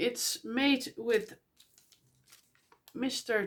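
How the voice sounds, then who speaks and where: A woman talks high in pitch, her voice swinging very widely up and down. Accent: Dutch. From Netherlands. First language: Dutch. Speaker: knitting podcaster. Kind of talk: casual podcast monologue. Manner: halting, many fillers.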